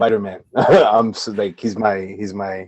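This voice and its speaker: The intonation is monotone and flat. It comes from a man in an American accent. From New Jersey, Paterson. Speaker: educator and artist, podcast guest. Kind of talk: casual chat. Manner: halting, many fillers.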